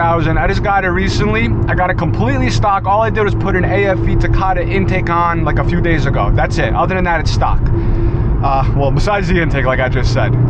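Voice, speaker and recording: A man talks at a very fast pace over loud background noise. The sound is dry, with no echo. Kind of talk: casual vlog chat. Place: car. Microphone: phone near.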